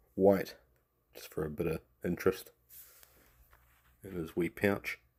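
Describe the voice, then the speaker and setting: A man with a New Zealand accent, very deep and low in pitch, at a fairly slow pace. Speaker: miniature painting tutor. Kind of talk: tutorial. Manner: casual.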